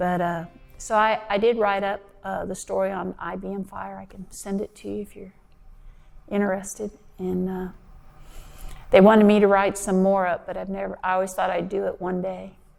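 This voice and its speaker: With an American accent, a woman speaks at a moderate pace and medium pitch, in a monotone, flat intonation. Her loudness swings widely, and she leaves long, frequent pauses. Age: 60s. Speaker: retired firefighter. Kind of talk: interview, personal recollection. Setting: seated interview in a cemetery chapel. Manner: halting, with many fillers.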